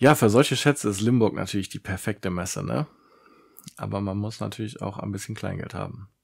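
The voice moves at a fairly quick pace with vocal fry and ordinary pitch variation. Loudness swings widely against a quiet background. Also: man, fairly low pitch for a man. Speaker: whisky reviewer, video creator; whisky reviewer. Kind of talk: solo tasting review vlog. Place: home room. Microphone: studio mic.

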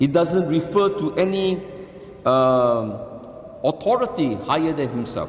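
With audible room echo, a man speaks at a fairly slow pace using very wide pitch swings. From Singapore. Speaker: archbishop giving homily. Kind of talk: sermon. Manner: earnest, solemn, admonishing; measured, deliberate, preacherly. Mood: earnest, admonishing. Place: church.

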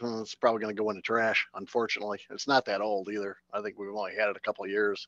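At a very fast pace, a man speaks in a dry sound with no echo over a quiet background. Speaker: stand-in co-host, technician who travels for machine repairs. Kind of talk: casual chat. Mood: relaxed, thankful. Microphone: headset.

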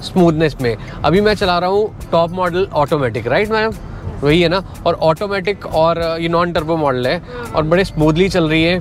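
Over faint background music, a man speaks at a moderate pace with very even loudness and ordinary pitch variation, the sound dry with no echo. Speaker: car reviewer driving. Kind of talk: casual vlog car review. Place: car.

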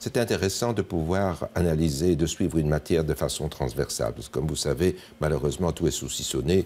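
This voice has vocal fry and a dark, mellow tone, with ordinary pitch variation at a fairly quick pace. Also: man, very deep, low pitch for a man. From Belgium, Liège. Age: 70s. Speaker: politician and retired neurosurgeon. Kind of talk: TV interview.

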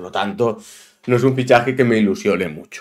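The background stays quiet while a man speaks. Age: 30s. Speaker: football YouTuber. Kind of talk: opinion monologue. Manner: animated.

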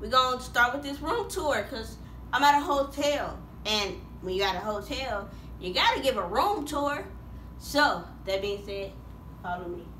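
A woman speaks with big swings in loudness and long, frequent pauses, with audible room echo and light background noise. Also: moderate pace. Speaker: vlogger. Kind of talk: casual vlog chat. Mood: cheerful, playful. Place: home room. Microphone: phone near.

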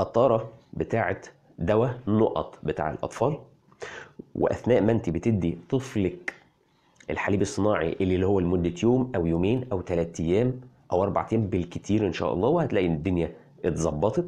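This man has a fairly low pitch and a dark, mellow tone. His loudness stays very even at a moderate pace. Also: ordinary pitch variation. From Egypt. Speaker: parenting health blogger. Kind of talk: health explainer video. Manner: animated.

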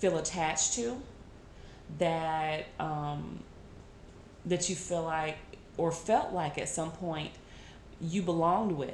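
A woman at a fairly low pitch and a very slow pace, with audible room echo and light background noise. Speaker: tarot reader. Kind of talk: tarot reading talk to viewers. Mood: calm, earnest. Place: home room. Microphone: phone near.

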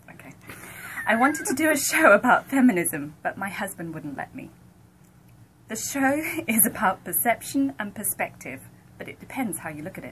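A woman with an English accent talks at a fairly high pitch, her pitch swinging very widely and her loudness varying greatly. She keeps a moderate pace with long, frequent pauses over light background noise. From United Kingdom. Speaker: radio account executive. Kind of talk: reading jokes on radio morning show. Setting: radio studio. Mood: amused, light. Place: office.

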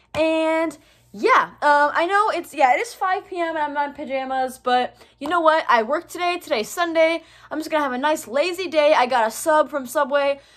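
Against a quiet background, a woman speaks at a moderate pace in a high voice with ordinary pitch variation. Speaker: vlogger. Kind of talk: casual vlog chat. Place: home room. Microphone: phone near.

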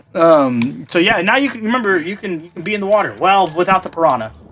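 Someone talks at a fairly quick pace. Noticeable noise fills the background. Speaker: gaming YouTuber. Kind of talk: casual gameplay chat. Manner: animated.

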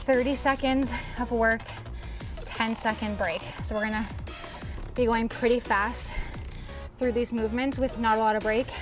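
A woman talks at a moderate pace in a flat monotone, with long, frequent pauses. Clear music plays in the background. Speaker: fitness instructor. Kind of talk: workout instruction. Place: garden.

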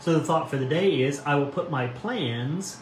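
A man speaks at a fairly slow pace with a fairly high pitch, ordinary pitch variation and a warm tone. Light background noise and audible room echo are present. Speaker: pastor. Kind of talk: devotional reading and reflection. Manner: warm, informal, friendly. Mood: calm, gentle, reflective. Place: home room. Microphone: phone near.

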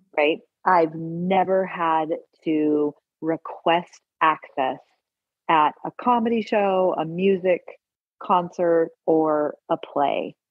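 Speaking very slowly with long, frequent pauses, a woman uses a fairly low pitch, ordinary pitch variation and very even loudness. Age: 50s. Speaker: documentary filmmaker. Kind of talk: casual chat.

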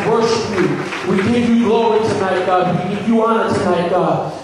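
A man speaks at a moderate pace amid strong room echo. Background noise is noticeable. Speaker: minister leading prayer. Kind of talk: prayer. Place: hall.

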